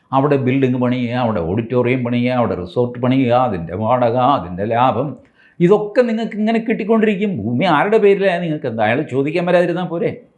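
Through audible room echo, a man's medium-pitched voice swings very widely in pitch. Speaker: political commentator. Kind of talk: political commentary monologue. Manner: conversational, halting phrasing.

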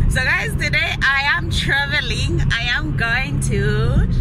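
With crowd noise in the background, a woman's voice comes through as a dry sound with no echo. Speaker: vlogger. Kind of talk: casual vlog chat. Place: car. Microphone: phone near.

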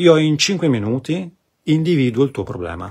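Somewhat breathy, a man speaks against a quiet background with very wide pitch swings. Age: 40s. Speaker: spiritual coach. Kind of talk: live stream talk. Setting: live video stream. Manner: halting. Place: home room. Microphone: phone near.

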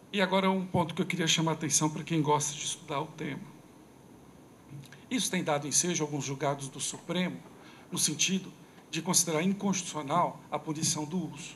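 Over light background noise, a man speaks with a fairly high pitch and fairly even intonation. He takes long, frequent pauses. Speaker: criminal law speaker at a debate; speaker. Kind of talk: lecture. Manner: fast. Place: hall. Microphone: podium.

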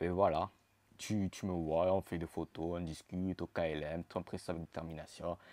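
A man with a very deep, low pitch and a dark, mellow tone speaks at a moderate pace in a dry sound with no echo. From Marseille, southern France. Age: 20s. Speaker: YouTuber. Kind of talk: casual vlog Q&A. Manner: animated. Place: home room. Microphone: lapel.

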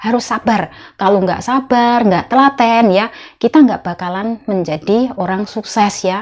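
Against a quiet background, a woman with a fairly high voice talks at a fairly slow pace with ordinary pitch variation. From Indonesia. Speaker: migrant domestic worker vlogger. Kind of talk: casual vlog monologue. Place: home room. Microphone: lapel.

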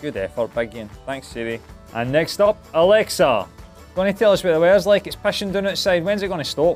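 With a strong Scottish accent, a man speaks at a fairly quick pace in a high pitch, his intonation lively and his loudness swinging widely over faint background music. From Scotland. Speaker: tech reviewer. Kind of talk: casual talk to camera. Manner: cheeky, irreverent. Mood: wry, exasperated humor. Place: studio. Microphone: lapel.

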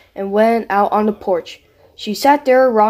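Reading aloud, plain and simple.

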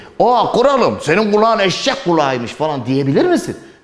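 Audible room echo surrounds a man speaking at a moderate pace. His tone is animated, and his pitch swings very widely. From Turkey. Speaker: history teacher for exam prep. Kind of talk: lecture. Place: classroom.

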